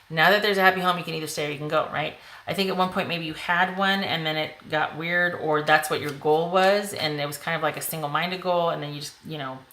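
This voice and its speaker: A very fast, hardly pausing woman's voice of fairly low pitch, with big swings in loudness, noticeable background noise and audible room echo. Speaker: tarot reader. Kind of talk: tarot reading to camera. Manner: animated.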